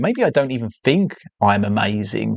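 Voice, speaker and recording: A man of medium pitch speaks with an English accent. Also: dry, close sound with no echo. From England. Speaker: artist and livestreamer. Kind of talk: casual livestream talk. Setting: live stream. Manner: hesitant, repeats words.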